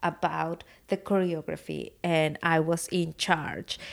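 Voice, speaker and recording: Recorded very cleanly against a silent background, a woman with a Spanish accent speaks in a fairly low pitch with monotone, flat intonation. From Mexico, Puebla. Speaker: artist and educator. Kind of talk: casual chat. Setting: guest room at home.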